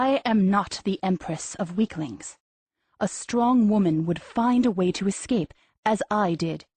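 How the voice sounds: A natural reading voice with ordinary pitch variation, set against a quiet background.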